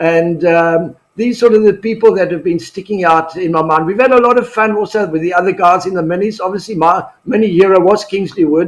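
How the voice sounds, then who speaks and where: Hardly any pauses break this man's fairly quick speech. His pitch is high, with ordinary variation. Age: 70s. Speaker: retired racing driver. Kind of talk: casual interview.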